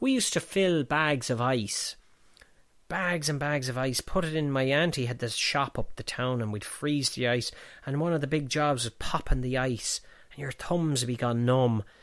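The recording is very clean with a silent background. A man with an Irish Midlands accent speaks at a fairly high pitch and moderate pace, with ordinary pitch variation. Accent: Irish midlands, fairly strong rural. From Offaly, Ireland. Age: 40s. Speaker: pub owner and filmmaker. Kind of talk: casual interview chat with storytelling. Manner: chatty, storytelling, hesitant with fillers.

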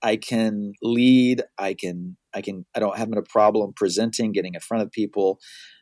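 A man with a normal speaking voice talks at a medium pitch and a moderate pace. The very clean recording has a silent background and a dry, close sound with no echo. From US South and Miami, moved around. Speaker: marketing expert, author, podcaster. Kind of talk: casual interview conversation.

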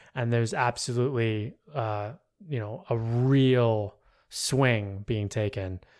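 On a very clean recording with a silent background, a man with an unremarkable speaking voice talks at a fairly slow pace in a medium pitch with fairly even intonation. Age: 40s. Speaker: musician and podcast guest. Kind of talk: casual chat.

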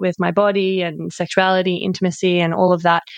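Fairly quick, monotone speech with flat intonation in an Australian accent, over a quiet background. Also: woman. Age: 30s. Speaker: podcast host, sex coach. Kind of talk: casual chat; scripted intro/outro.

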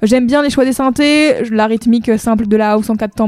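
A woman talks at a very fast pace with a fairly high pitch and a dark, mellow tone. The sound is dry and close, with no echo. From France, Saint-Nazaire. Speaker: music podcast co-host. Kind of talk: casual chat. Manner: animated.

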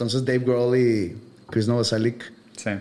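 A man with a Mexican accent speaks at a medium pitch with fairly even intonation, and there is noticeable background noise. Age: 40s. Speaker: podcast host. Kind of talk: casual chat.

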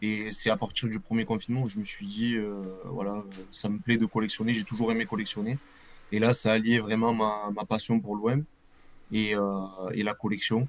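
At a moderate pace and a fairly low pitch, a man speaks with fairly even intonation and long, frequent pauses. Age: 20s. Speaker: football supporter and jersey collector. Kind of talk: casual interview. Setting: live video stream. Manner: casual, hesitant with fillers.

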